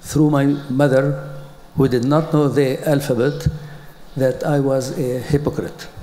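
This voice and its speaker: Noticeable background noise and audible room echo surround a man with an Arabic accent. His fairly high voice moves at a fairly slow pace with a monotone, flat intonation. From Palestine (Jerusalem). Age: 80s+. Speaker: educator. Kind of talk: conference talk. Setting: stage with audience. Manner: halting.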